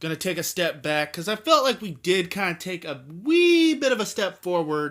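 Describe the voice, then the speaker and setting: A man with a high pitch is heard in a very clean recording with a silent background. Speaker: sports vlogger. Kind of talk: casual sports preview vlog. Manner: speech impediment; halting.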